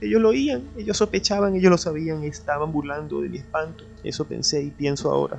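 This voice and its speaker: There is music in the background. A man speaks over it at a moderate pace. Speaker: audiobook narrator. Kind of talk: reading aloud. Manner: dramatic storytelling.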